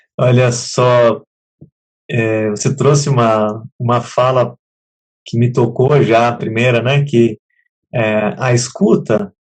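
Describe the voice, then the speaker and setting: Very slow, somewhat breathy male speech at medium pitch, with ordinary pitch variation, very even loudness, and long, frequent pauses. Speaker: program host. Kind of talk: live talk show hosting. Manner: relaxed, conversational.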